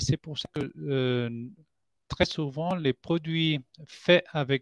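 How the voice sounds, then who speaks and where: Against a quiet background, a man speaks at a very slow pace with ordinary pitch variation, the sound dry and close with no echo. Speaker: scientist at a collagen producer. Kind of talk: product presentation. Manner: halting, many hesitations. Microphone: microphone problem.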